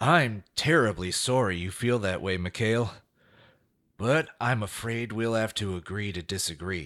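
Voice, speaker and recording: In an unremarkable speaking voice, a man talks at a fairly slow pace with a fairly low pitch and ordinary pitch variation on a very clean recording with a silent background. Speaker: corporate CEO character giving a speech. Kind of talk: polished corporate speech to an audience. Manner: smooth, formal, folksy-charming.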